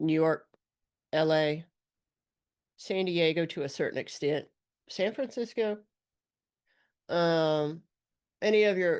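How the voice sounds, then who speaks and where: With an Alabama accent, a woman speaks at a fairly low pitch and a fairly slow pace, with ordinary pitch variation against a quiet background. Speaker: former border patrol agent and activist. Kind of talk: commentary monologue. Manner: slurs words sometimes; casual, with fillers.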